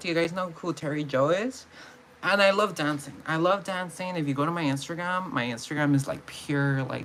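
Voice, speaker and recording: A woman with an American accent speaks at a moderate pace with a fairly low pitch. Her intonation is lively. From California. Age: 20s. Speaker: vlogger. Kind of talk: casual vlog monologue. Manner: mumbling; halting, repetitive.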